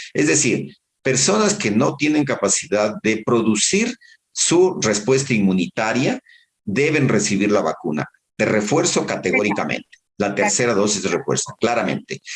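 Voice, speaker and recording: Pitch swings very widely in this voice, recorded with a dry, close sound and no echo. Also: man, medium pitch for a man, moderate pace, very even loudness. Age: 60s. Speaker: public health doctor. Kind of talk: interview. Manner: halting.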